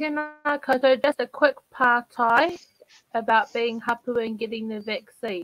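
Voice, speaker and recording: A woman speaks at a high pitch and a fairly slow pace, her volume swinging widely. The pitch varies in an ordinary way, and the sound is dry with no echo. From New Zealand, Taranaki; New Zealand. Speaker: youth panelist; panelist. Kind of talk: asking questions on panel. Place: home room.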